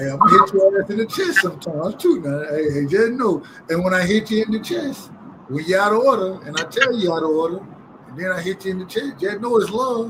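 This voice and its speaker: A man talks at a very fast pace with a high pitch, an animated tone and lively intonation. There is noticeable background noise. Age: 30s. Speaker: boxing talk show host. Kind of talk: casual panel chat. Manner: animated, halting with many repeats.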